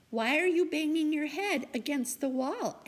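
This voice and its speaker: A woman does a put-on character voice, high-pitched for a woman, at a moderate pace. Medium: read story.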